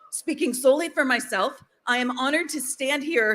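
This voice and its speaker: Her pitch high with ordinary variation, a woman speaks at a moderate pace. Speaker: rally speaker, advocate. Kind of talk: rally speech.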